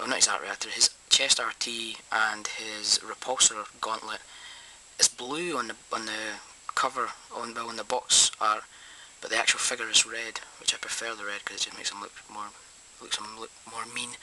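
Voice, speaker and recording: A man's voice rises and falls sharply in loudness. Noticeable background noise runs underneath. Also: moderate pace. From Scotland. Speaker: toy reviewer. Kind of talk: product review. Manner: hesitant, many ums.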